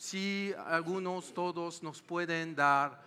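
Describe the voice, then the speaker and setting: With a bright, sharp tone and fairly high pitch, the man speaks with fairly even intonation. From France. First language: French (speaking Spanish). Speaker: panel moderator. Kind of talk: panel discussion.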